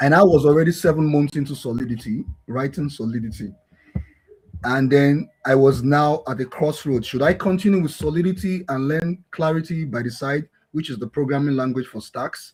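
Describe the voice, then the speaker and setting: Somewhat breathy male voice, fairly high for a man, at a moderate pace. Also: ordinary pitch variation. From Nigeria, Lagos. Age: 40s. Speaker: blockchain developer and founder. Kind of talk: interview.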